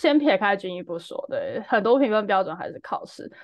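With a Taiwanese accent, a woman talks at a fairly quick pace. Her pitch is medium. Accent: Taiwanese Mandarin. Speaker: startup founder. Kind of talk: casual chat.

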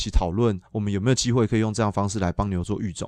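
Over a quiet background, a man talks very fast in a fairly low pitch with fairly even intonation. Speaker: dairy cattle veterinarian and dairy brand founder. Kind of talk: casual interview.

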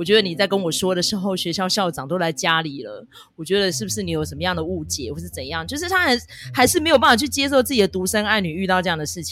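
Big swings in loudness mark this very fast delivery in a Taiwanese accent. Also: woman. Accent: Taiwanese Mandarin. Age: middle-aged. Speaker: podcast host. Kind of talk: casual drama review chat. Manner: chatty, heavy use of filler particles.

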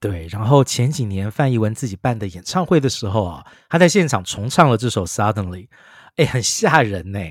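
The speaker moves through very wide pitch swings at a moderate pace on a very clean recording with a silent background. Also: man, fairly low pitch for a man. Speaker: music podcast co-host. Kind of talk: casual chat. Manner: chatty, frequent filler particles.

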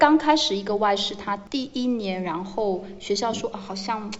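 Against noticeable background noise, a woman speaks at medium pitch and a moderate pace with ordinary pitch variation. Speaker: English teacher managing foreign teachers. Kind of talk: casual interview.

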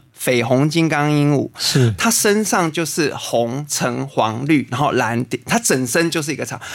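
An ordinary speaking voice moves at a fairly slow pace. The intonation is lively. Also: man, fairly high pitch for a man. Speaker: botanist and natural healing teacher. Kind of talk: interview conversation; guided meditation.

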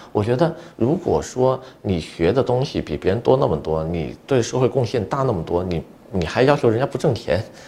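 A man's dark, mellow, medium-pitched voice with vocal fry, very wide pitch swings and a fairly quick pace. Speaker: immigration consultant and podcast host. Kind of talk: solo podcast monologue.

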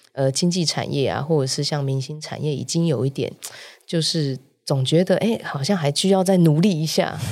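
A woman's very deep, low voice at a moderate pace, with ordinary pitch variation and a very clean recording with a silent background. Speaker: talent agency founder. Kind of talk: interview. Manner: frequent loud laughter.

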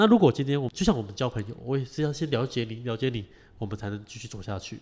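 Over a silent background in a very clean recording, a man talks at medium pitch and a fairly quick pace with ordinary pitch variation. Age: 30s. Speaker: packaging business owner. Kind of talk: interview.

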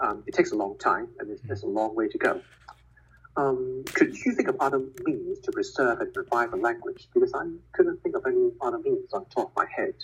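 A man speaks at a fairly quick pace in a Cantonese accent. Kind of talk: casual interview chat.

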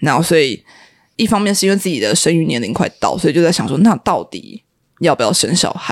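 A woman talks very fast at a fairly low pitch, her voice swinging very widely in pitch and showing vocal fry. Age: 30s. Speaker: media office worker. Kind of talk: casual chat.

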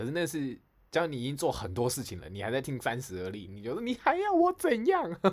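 A man is speaking. His pitch makes very wide swings. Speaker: podcast co-host. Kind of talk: casual chat. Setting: live stream over call.

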